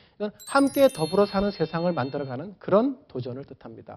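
Fairly quick speech with music in the background. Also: man. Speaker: professor. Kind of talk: lecture.

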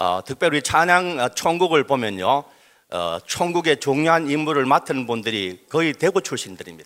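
A man's fairly high voice with vocal fry and very wide pitch swings, at a moderate pace, on a very clean recording with a silent background. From Daegu, South Korea. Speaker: pastor. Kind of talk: speech. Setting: stage with audience.

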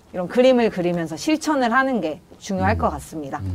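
A woman at a fairly quick pace, with very wide pitch swings. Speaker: navy reserve officer. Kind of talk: casual interview.

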